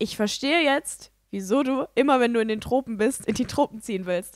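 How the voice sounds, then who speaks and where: A woman's fairly high voice with ordinary pitch variation, at a moderate pace, against a quiet background with dry sound and no echo. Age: 20s. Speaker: podcast co-host. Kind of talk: casual chat. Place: home room.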